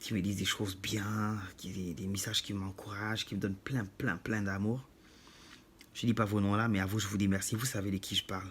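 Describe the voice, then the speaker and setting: A man's fairly low-pitched voice with a non-native accent, monotone, flat intonation and a moderate pace. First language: not French (speaking French). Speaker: YouTuber. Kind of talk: monologue to camera.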